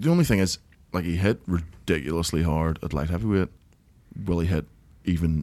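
At a moderate pace, a man with a Northern Irish accent speaks in a very deep, low pitch with ordinary pitch variation. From Northern Ireland. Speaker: MMA podcast host. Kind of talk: casual banter.

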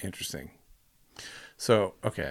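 A man talks at a fairly slow pace. Vocal fry colors his voice. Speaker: podcast co-host. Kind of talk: casual chat.

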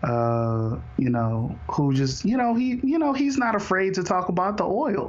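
A man with an American accent and a high pitch talks at a fairly slow pace, swinging very widely in pitch while his loudness stays very even. Noticeable background noise and audible room echo fill the recording. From Houston, Texas. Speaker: podcast host. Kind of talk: casual interview conversation.

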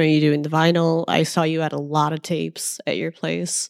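The speech is an ordinary speaking voice at a moderate pace. The sound is dry and close, with no echo. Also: woman. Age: 30s. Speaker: podcast host. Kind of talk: casual interview chat. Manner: casual, many fillers like like.

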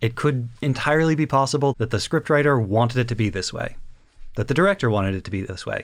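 On a very clean recording with a silent background, a man talks at a very fast pace. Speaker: podcast co-host. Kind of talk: casual chat about anime. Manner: pitches voice slightly higher to mirror co-host.

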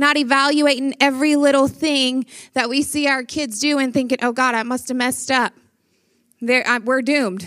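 With a Louisiana accent, a woman speaks at a moderate pace in a high pitch and a bright, sharp tone. The recording is very clean, with a silent background. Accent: Southern US (Louisiana). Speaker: pastor. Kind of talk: conference talk.

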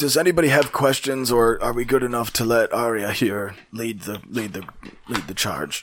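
A man's raspy, put-on character voice at medium pitch, with ordinary pitch variation, a moderate pace and hardly any pauses. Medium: actual play. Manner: polite, fussy, rambling.

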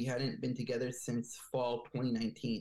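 Somewhat breathy, with a dark, mellow tone, a man speaks fairly slowly in an American accent. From US East Coast, Bethesda, Maryland. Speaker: dancer and choreographer. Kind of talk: interview. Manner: hesitant with many fillers.

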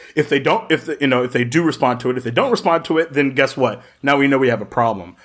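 Talking at a very fast pace with hardly any pauses, a man sounds animated, his intonation lively. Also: medium pitch for a man. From Jacksonville, Florida. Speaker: podcast guest, gaming community member. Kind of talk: casual chat. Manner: loud.

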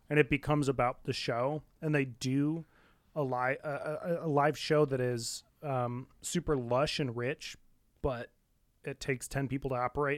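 A man speaks with an American accent at medium pitch in a flat monotone. The sound is dry and close with no echo, and the recording is very clean with a silent background. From Muskegon, Michigan. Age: 20s. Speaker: podcast co-host. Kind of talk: casual chat.

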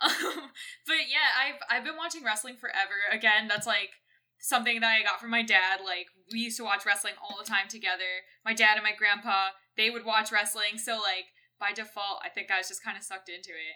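A woman speaks at a fairly quick pace in a fairly high voice with ordinary pitch variation. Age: 20s. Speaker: musician. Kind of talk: casual chat. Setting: Discord recording. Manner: fast talker.

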